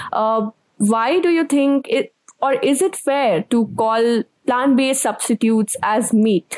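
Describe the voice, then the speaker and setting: A woman's high-pitched voice, fairly slow and lively in intonation, at a very even loudness, with a dry, close sound and no echo. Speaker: podcast host. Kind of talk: interview.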